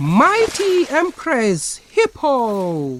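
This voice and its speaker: A man in a put-on character voice, pitched extremely high. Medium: read story. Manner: flattering, sly.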